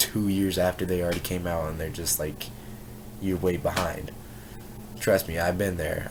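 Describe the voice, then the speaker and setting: A man speaks at a moderate pace in a very deep, low voice with monotone, flat intonation, and the room echo is audible. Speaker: YouTuber. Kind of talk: casual vlog talk to camera. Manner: casual, rambling with fillers.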